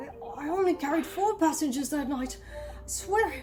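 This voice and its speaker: A put-on character voice with a high pitch moves at a moderate pace over clear background noise. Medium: game stream. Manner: nervous, stammering.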